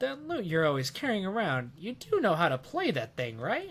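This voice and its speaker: A man's put-on character voice, fairly high-pitched, at a moderate pace with very wide pitch swings. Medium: game stream. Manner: casual, chatty.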